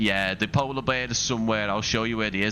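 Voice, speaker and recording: A man in a Scouse accent speaks very fast at a fairly low pitch, with fairly even intonation. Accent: Scouse, moderate. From Liverpool, northern England. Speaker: flight sim streamer. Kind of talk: live stream commentary. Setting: live stream. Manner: casual, chatty.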